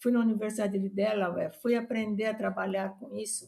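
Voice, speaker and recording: A woman speaks at a moderate pace and medium pitch with fairly even intonation. Her voice is somewhat breathy, with a dark, mellow tone. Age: 80s+. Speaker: retired veterinary professor. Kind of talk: interview. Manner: halting.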